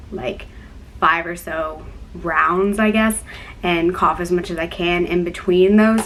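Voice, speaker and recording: There is audible room echo around a woman's voice. She talks very slowly. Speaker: YouTuber with a chronic illness. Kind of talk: casual vlog talk. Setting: dorm room.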